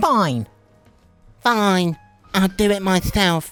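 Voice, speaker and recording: A female-sounding, middle-pitched put-on character voice plays over faint music in the background. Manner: slow, menacing.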